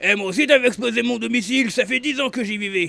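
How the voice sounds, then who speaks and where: A man with a raspy, put-on character voice, projected and raised, talks at a very fast clip with an extremely high pitch. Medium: machinima. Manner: barking, insulting.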